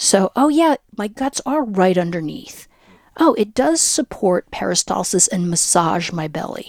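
A woman's medium-pitched voice with very wide pitch swings at a fairly slow pace, in a dry, close sound with no echo. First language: Spanish. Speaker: clinical psychologist and breathing teacher. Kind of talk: interview conversation.

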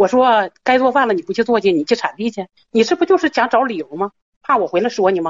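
Her pitch fairly high and swinging very widely, a woman talks at a very fast pace. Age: 50s. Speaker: caller. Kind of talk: call-in advice show. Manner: halting.

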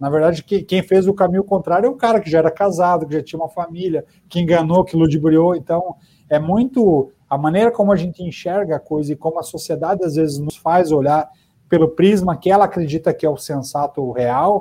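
A man with a high yet dark, mellow voice speaks fairly quickly with ordinary pitch variation. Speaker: journalist, podcast co-host. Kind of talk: casual chat.

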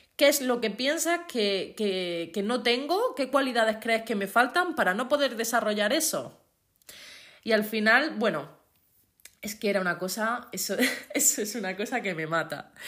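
At a fairly slow pace, a woman in an Andalusian accent speaks at a fairly high pitch with lively intonation. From Andalusia, Spain. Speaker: podcast host. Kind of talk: motivational monologue. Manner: careful enunciation.

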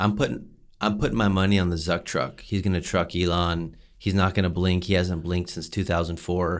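Recorded very cleanly against a silent background, a man with a very deep, low pitch speaks at a fairly quick pace with fairly even intonation. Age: 30s. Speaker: podcast co-host. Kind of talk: casual chat.

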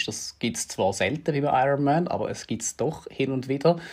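This man has a plain, everyday voice, pitched in the middle of his range, with normal rises and falls and a medium tempo. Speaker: triathlon coach and podcast host. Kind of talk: casual chat.

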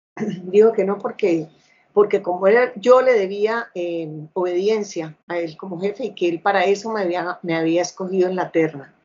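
A woman's medium-pitched voice shows ordinary pitch variation and a moderate pace. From Colombia, Bucaramanga, Santander. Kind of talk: interview testimony. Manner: halting with frequent fillers.

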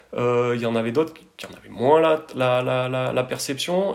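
A man's voice is heard. Background noise is noticeable throughout. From France, Drôme (Tain-l'Hermitage area). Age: 30s. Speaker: architect. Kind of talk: interview. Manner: halting, many repetitions and fillers.

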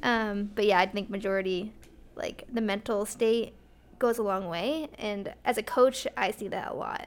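A woman with an ordinary speaking voice and an American accent talks at a moderate pace, fairly high in pitch, with ordinary pitch variation. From Glastonbury, Connecticut. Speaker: track and cross-country coach. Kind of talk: casual chat.

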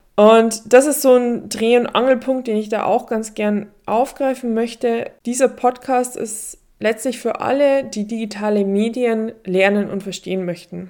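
A dark, mellow tone moves at a fairly slow pace with fairly even intonation. The recording is very clean, with a silent background. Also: woman, fairly high pitch for a woman. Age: 30s. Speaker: journalism professor and podcast host. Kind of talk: solo podcast monologue.

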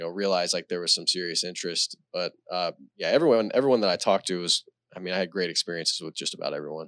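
A man with a Texan accent speaks very fast in a very deep, low voice. The recording is very clean, with a silent background. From Texas, Celina. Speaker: high school football coach, former college quarterback. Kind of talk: casual chat.

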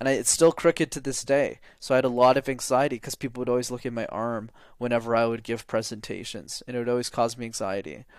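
A man with a Canadian accent and an ordinary speaking voice, medium in pitch, at a fairly quick pace with ordinary pitch variation, on a very clean recording against a silent background. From Canada, Montreal. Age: 20s. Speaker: public speaking coach. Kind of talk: interview.

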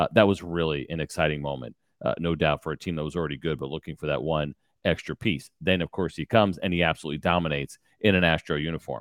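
Talking at a very fast pace, a man with a very deep, low pitch and vocal fry keeps a fairly even intonation, the sound dry and close with no echo on a very clean recording over a silent background. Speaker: former pro baseball pitcher, radio host. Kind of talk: casual interview chat.

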